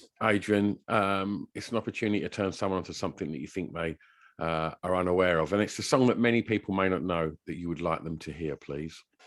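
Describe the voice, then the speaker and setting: A man with an English accent speaks very fast at a very deep, low pitch. His pitch varies in an ordinary way, on a very clean recording with a silent background. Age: 40s. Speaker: podcast host. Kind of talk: casual interview chat. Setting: podcast interview.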